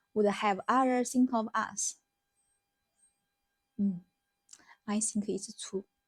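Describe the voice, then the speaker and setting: Music plays behind a woman with a Chinese accent who speaks very slowly at a fairly high pitch with fairly even intonation and long, frequent pauses, the sound dry and close with no echo. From China. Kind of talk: casual talk to camera.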